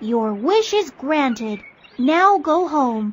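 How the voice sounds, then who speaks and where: A female-sounding, high-pitched voice talks very slowly. It is a put-on character voice. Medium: read story. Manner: formal, brief.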